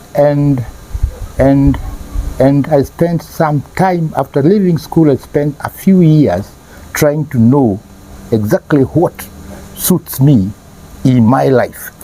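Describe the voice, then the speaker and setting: With long, frequent pauses, a man at a fairly high pitch speaks at a very slow pace over noticeable background noise. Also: ordinary pitch variation. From Kenya, Nairobi. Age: 70s. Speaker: parent sharing life experience. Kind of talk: interview. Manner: halting, repeats words.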